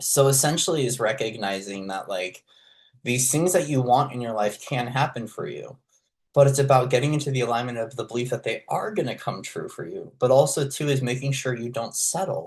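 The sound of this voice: A man with a medium pitch speaks at a fairly quick pace, his intonation lively.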